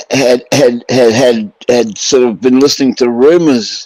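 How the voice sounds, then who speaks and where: A plain, everyday voice with ordinary pitch variation comes through with a dry, close sound and no echo. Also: man. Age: 60s. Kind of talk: casual chat.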